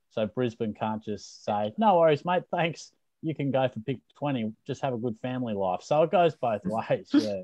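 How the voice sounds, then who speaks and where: Speaking in an Australian accent, a man uses a medium pitch, a dark, mellow tone and lively intonation at a moderate pace, recorded dry and close with no echo. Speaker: football podcast co-host. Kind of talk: casual chat.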